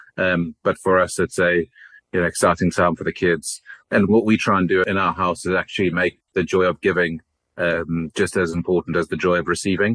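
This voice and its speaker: A fairly quick, monotone, flat delivery with a South African accent, very even loudness, and a dry, close sound with no echo over a quiet background. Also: man, very deep, low pitch for a man. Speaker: company CEO. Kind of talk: podcast interview.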